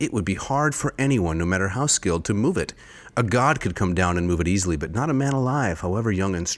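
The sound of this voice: The intonation is lively as someone reads in an unforced voice.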